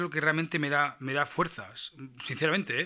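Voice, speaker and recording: Fairly quick and fairly even in intonation, a man speaks in a bright, sharp tone. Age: 40s. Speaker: musician and podcast host. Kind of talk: casual monologue, reading listener comments. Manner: halting, repeats words.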